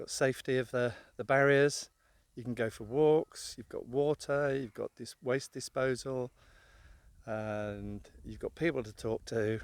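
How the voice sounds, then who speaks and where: A man with an English accent speaks fairly slowly at a medium pitch, his intonation fairly even but his loudness swinging widely, in a very clean recording with a silent background and a dry, close sound with no echo. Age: 60s. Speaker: motorhome travel vlogger. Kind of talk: casual vlog talk to camera.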